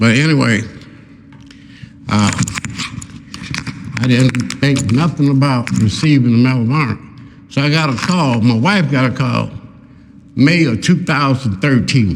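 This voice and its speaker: An American-accented man speaks at a medium pitch and a fairly slow pace, with long, frequent pauses, ordinary pitch variation and very even loudness. Background noise is noticeable. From Oklahoma, USA. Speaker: war veteran. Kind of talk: public talk to live audience. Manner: conversational, storytelling.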